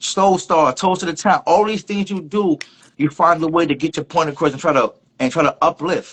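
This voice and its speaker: A man with a high voice speaks with fairly even intonation. The sound is dry and close, with no echo. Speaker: online show host. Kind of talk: casual interview. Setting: Instagram live stream. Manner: fast.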